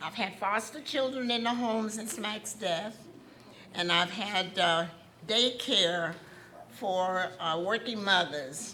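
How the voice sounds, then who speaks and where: Against audible room echo, a woman talks at a very slow pace with ordinary pitch variation. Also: medium pitch for a woman. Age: 80s+. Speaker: award recipient on family's behalf. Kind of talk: acceptance speech. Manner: halting.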